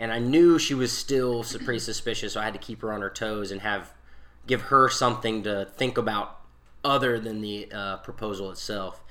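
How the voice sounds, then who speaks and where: In a room with audible echo, a man speaks at a medium pitch and moderate pace, his tone bright and sharp, with ordinary pitch variation. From South Carolina, Newberry. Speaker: podcast guest, married husband. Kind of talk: casual storytelling.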